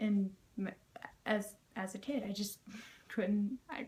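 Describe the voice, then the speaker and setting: Her voice is somewhat breathy and medium in pitch for a woman. The intonation stays fairly even. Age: 18. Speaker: vlogger. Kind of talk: casual vlog monologue. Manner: soft-spoken.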